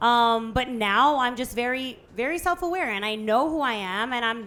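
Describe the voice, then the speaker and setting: Loud and bright with a sharp edge, a woman's high voice moves at a moderate pace with ordinary pitch variation. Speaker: podcast guest, businesswoman. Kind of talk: live podcast conversation. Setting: live podcast event with audience.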